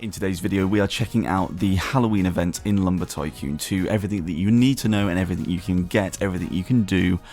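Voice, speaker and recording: A man with a very deep, low pitch and a British accent, at a very fast pace with hardly any pauses and ordinary pitch variation. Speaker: gaming YouTuber. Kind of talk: gaming commentary. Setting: home recording late at night. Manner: quieter, softer than usual.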